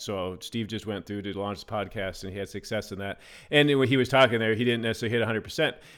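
With ordinary pitch variation, a man talks in a normal speaking voice. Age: 40s. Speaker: photographer and videographer. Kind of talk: casual chat.

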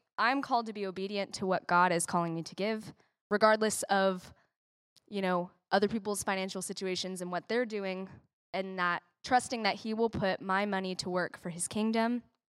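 With a plain, everyday voice, a woman speaks fairly quickly at a medium pitch with ordinary pitch variation. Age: 20s. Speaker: church member. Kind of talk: talk on giving. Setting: church.

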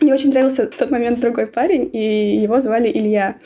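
A woman rushes along at a very fast pace, her fairly high voice showing ordinary pitch variation. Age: 20s. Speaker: caller. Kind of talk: testimony.

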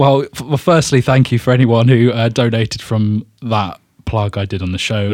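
A man with a plain, everyday voice speaks at medium pitch and a moderate pace with ordinary pitch variation. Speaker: podcast co-host.

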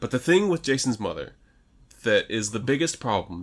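An unremarkable speaking voice from a man, medium in pitch, at a fairly quick pace with lively intonation, in a very clean recording with a silent background. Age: 30s. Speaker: horror movie podcast co-host. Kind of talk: casual movie review chat.

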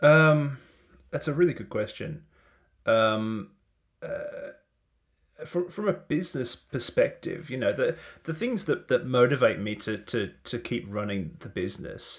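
With an Australian accent, a man talks at a fairly slow pace. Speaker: marketing technology consultant. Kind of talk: casual chat. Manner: halting.

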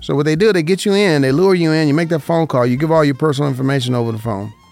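A man speaks with an American accent and lively intonation. Music plays in the background. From Las Vegas, Nevada. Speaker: radio host and insurance broker. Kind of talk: paid radio program on insurance. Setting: radio studio.

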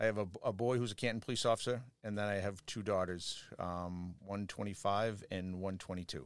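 This very clean recording has a silent background, with a man speaking in a Boston accent. His pitch is fairly low, his pace moderate, and his pitch variation ordinary. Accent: Boston, Massachusetts. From Quincy, Massachusetts. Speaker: police lieutenant. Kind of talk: casual interview.

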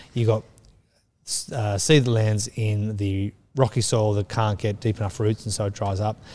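A man with an Australian accent speaks at a moderate pace in a fairly low, dark, mellow, somewhat breathy voice with monotone, flat intonation. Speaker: children's minister. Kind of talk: casual chat.

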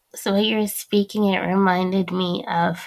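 At a moderate pace, a plain, everyday voice speaks with fairly even intonation. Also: woman. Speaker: podcast host. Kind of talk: interview conversation.

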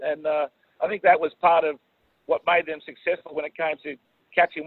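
A man with an Australian accent talks at a fairly quick pace, his pitch fairly high. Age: 50s. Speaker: swim coach. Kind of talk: interview.

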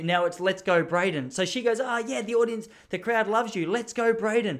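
Lively intonation marks this man's fairly quick speech in an Australian accent. The recording is very clean with a silent background. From Melbourne, Australia. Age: 30s. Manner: fast talker; rambling, self-correcting.

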